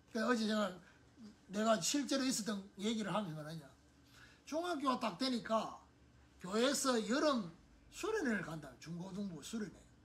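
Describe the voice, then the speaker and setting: Amid noticeable background noise and audible room echo, a man with a high pitch makes very wide pitch swings at a moderate pace, leaving long, frequent pauses. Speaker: pastor. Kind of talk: sermon. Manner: conversational.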